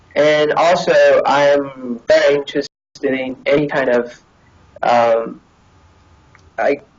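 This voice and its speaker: The speech comes at a very slow pace. Long pauses break it up often. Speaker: college student being interviewed. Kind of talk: interview conversation. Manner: halting, many fillers.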